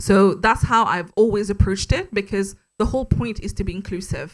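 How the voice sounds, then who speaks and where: In a French accent, a woman talks at a medium pitch on a very clean recording with a silent background. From Mauritius. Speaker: podcast host, guest speaker. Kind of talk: panel interview at live meetup. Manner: casual, confident.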